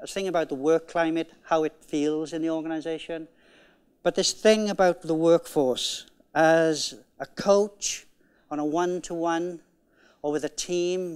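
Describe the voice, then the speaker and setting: With a Welsh accent, a man speaks at a fairly slow pace in a high pitch and fairly even intonation. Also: very clean recording, silent background. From Wales. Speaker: conference keynote speaker, management coach. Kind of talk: conference keynote talk.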